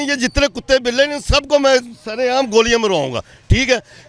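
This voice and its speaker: Over noticeable background noise, a man speaks in an animated tone at an extremely high pitch with ordinary pitch variation. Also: dry, close sound with no echo. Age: 60s. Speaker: man on the street, citizen. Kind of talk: street interview. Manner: animated, indignant.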